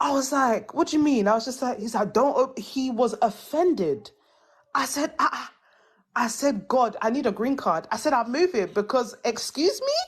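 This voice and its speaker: Speaking in a British accent, a woman uses a high pitch, an animated tone and lively intonation at a moderate pace. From England. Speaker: panelist in livestream discussion. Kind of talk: casual chat.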